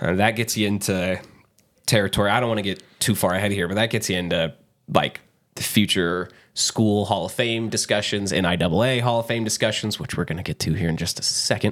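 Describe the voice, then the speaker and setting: Heard in a very clean recording with a silent background, a man has an ordinary speaking voice at fairly low pitch. He talks at a fairly quick pace with fairly even intonation. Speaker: sports podcast host. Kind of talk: casual sports talk.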